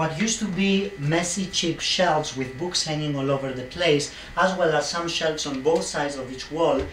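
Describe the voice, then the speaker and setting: Room echo and background noise are both noticeable. A man speaks at a fairly high pitch with ordinary variation. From Greece, Athens. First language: Greek. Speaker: interior designer. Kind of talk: audition video with home tour. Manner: animated.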